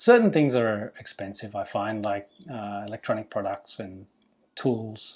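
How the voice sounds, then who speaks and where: At a fairly slow pace, a man speaks with a fairly low pitch and fairly even intonation, his loudness swinging a lot. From Australia, Melbourne. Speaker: vlogger renovating a house. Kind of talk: Q&A vlog monologue.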